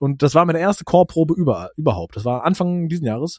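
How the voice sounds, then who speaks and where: Speaking very fast, a man lets his pitch vary in an ordinary way. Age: 30s. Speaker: travel podcaster. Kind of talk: casual chat. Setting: remote call.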